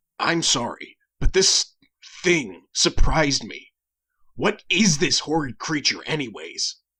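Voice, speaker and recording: A man does a put-on character voice with a raspy quality. His pitch is high and his pace fairly slow. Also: big swings in loudness. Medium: audio drama.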